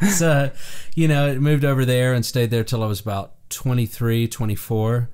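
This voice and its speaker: The speaker has an American accent and ordinary pitch variation. The pace is moderate. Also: man, medium pitch for a man. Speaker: session drummer. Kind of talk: interview. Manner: casual, with fillers.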